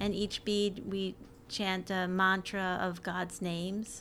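With an American accent, a woman speaks at a very slow pace. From New York. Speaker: university librarian. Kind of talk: casual interview.

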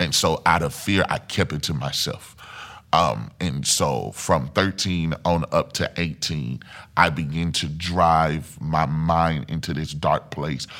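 Speaking very slowly with a Mississippi accent, a man uses a very deep, low pitch with vocal fry and a bright, sharp tone. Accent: Southern US (Mississippi). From US South, Mississippi. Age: 30s. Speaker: church singer and testimony guest. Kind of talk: personal testimony. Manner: hesitant, many fillers.

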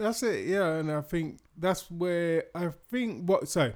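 In a British accent, a man talks with a high pitch. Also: very clean recording, silent background. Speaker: podcast co-host. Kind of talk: casual chat.

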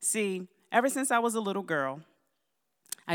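A woman with an American accent speaks with lively intonation on a very clean recording with a silent background. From US Mid-Atlantic, Baltimore, Maryland. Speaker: church speaker, teacher and business owner. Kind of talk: testimony.

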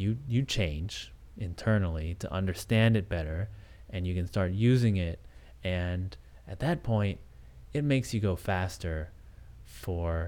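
A man with a very deep, low pitch and a dark, mellow tone talks at a fairly slow pace, his intonation lively and his speech broken by long, frequent pauses. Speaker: podcast host and programmer. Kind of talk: solo monologue. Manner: halting, many fillers and restarts.

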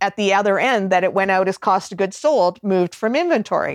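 A woman speaks fairly quickly in a normal speaking voice, with a Canadian accent and ordinary pitch variation. The sound is dry and close with no echo, over a quiet background. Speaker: cloud accounting specialist. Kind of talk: casual interview chat.

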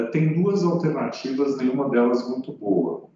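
The voice belongs to a man. It is pitched fairly high. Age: 60s. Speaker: economist. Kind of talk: interview. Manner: hesitant, with frequent fillers.

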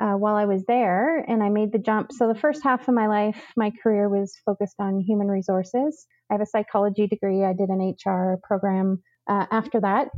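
This very clean recording, with a silent background and a dry, close sound with no echo, captures a woman in an ordinary speaking voice at medium pitch, with ordinary pitch variation and very even loudness. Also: fairly quick pace. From Canada, rural northern New Brunswick. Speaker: transit branch manager. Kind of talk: interview. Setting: podcast.

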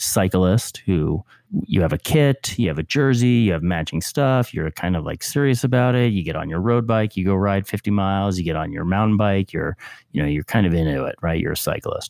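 With an American accent and a plain, everyday voice, a man of fairly low pitch speaks at a fairly quick pace with lively intonation, in a very clean recording with a silent background and a dry, close sound with no echo. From New York (Westchester). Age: 50s. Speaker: nonprofit founder. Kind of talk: casual chat.

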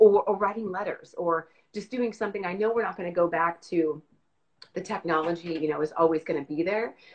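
A woman has an unremarkable speaking voice with a fairly low pitch. She talks at a fairly quick pace with ordinary pitch variation. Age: 40s. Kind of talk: casual chat.

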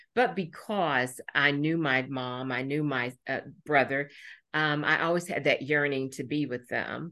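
Her pitch very deep and low, a woman with an American accent speaks at a fairly slow pace in a bright, sharp tone with ordinary pitch variation. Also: quiet background. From Indiana. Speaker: mindfulness teacher. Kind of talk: interview. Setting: video call. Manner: halting.

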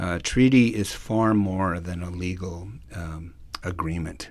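A man's voice is very deep and low. There is audible room echo. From Alberta, Canada (Cree First Nation). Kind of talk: public talk / lecture. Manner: hesitant, many fillers.

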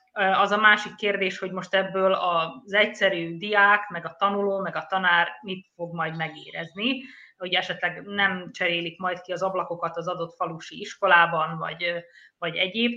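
A woman speaks at a medium pitch with fairly even intonation. Her tone is bright and sharp. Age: 40s. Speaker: journalist. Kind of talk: panel discussion. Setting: studio.

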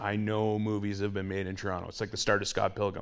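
A man with a fairly low pitch is heard with audible room echo around him. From Northern Ontario, Canada. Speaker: film key grip. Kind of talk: live interview. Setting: theatre stage with live audience.

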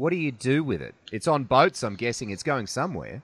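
A man with vocal fry speaks with lively intonation. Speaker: podcast host. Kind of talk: casual interview. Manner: casual, chatty.

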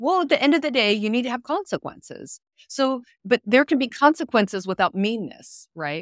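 A high-pitched woman with an American accent and very wide pitch swings, on a very clean, dry and close recording with no echo and a silent background. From US East Coast. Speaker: business founder and consultant. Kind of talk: casual interview chat. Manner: fast talker, efficient.

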